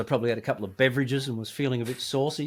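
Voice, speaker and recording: This man has an Australian accent and a medium pitch. He talks at a very fast pace. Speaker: guitarist. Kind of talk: interview. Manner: animated.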